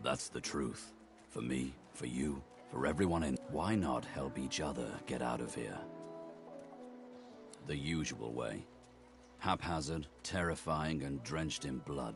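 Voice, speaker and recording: A man uses a rumbling, put-on character voice at a fairly slow pace with long, frequent pauses. Clear music plays in the background. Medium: video game. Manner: gruff, laconic.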